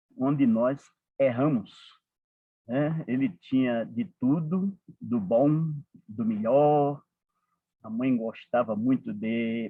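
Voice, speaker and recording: Here a man talks in a Paraíba accent at a very slow pace. His pitch is medium, with ordinary variation. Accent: Northeastern Brazilian (Paraíba), kept. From Northeast Brazil, Paraíba (João Pessoa). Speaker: support group coordinator, speaker. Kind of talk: talk to a support group. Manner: frequent fillers, conversational.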